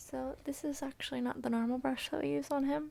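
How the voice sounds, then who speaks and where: Soft-spoken and gentle in tone, a woman talks. She keeps a moderate pace. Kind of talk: ASMR soft-spoken talk to camera while petting and brushing a dog. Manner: soft-spoken, gentle.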